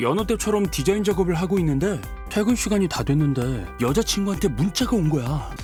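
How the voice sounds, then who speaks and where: Backed by music, a man talks at a fairly quick pace, his pitch swinging very widely. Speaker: voice actor. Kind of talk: storytelling. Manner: casual, boyfriend-like.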